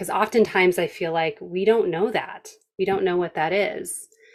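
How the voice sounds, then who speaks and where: Fairly low in pitch, a woman talks. Her pace is fairly slow. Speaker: podcast host and health coach. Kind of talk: casual interview chat. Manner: enthusiastic, energetic.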